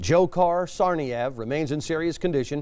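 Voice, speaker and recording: With an American accent and a normal speaking voice, a man with a fairly high pitch talks at a fairly quick pace with lively intonation. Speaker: television news anchor and reporter. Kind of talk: TV news anchor delivery.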